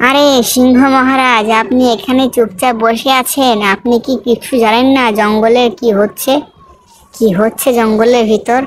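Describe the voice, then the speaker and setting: A female-sounding voice performs a cartoonish character voice at a high pitch. The pace is moderate. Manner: sly, mischievous.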